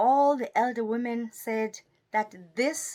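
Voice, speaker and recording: A woman with a South African accent speaks at a very slow pace in a fairly high pitch, her pitch varying in an ordinary way, on a very clean recording with a silent background. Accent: South African (Xhosa). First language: Xhosa. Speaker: storyteller and poet. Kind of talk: oral folk storytelling.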